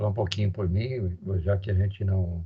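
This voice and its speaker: Somewhat breathy and dark, mellow in tone, a man speaks at a fairly slow pace. His pitch is fairly low and his intonation fairly even. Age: 60s. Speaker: university professor. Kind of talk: lecture. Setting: online recorded class.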